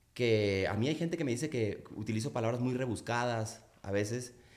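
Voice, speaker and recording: Audible room echo surrounds a man speaking at medium pitch and a moderate pace. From Mexico, Culiacán, Sinaloa. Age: 40s. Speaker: singer-songwriter. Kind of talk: casual interview chat.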